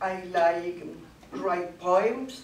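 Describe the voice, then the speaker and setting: Speaking very slowly at a fairly low pitch, a woman is heard with audible room echo and light background noise. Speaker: language club learner. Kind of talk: short personal talk in a second language. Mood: cheerful, laughing. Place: classroom. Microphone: camera far.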